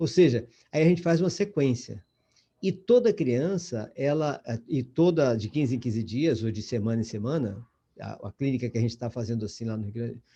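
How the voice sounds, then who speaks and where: Somewhat breathy with a dark, mellow tone, a man talks at a moderate pace and medium pitch with ordinary pitch variation. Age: 70s. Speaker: lecturer in educational psychology course. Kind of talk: online lecture. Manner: halting, with many false starts.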